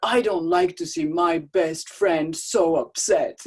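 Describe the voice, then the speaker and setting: A woman puts on a character voice at medium pitch. She talks at a fairly slow pace. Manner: playful, comforting.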